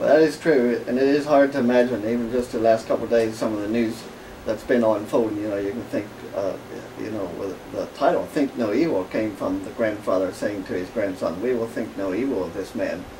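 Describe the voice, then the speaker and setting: Over noticeable background noise and audible room echo, a man with a Pennsylvania Dutch accent speaks fairly quickly at medium pitch with ordinary pitch variation. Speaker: author and businessman. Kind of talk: radio interview. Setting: radio studio.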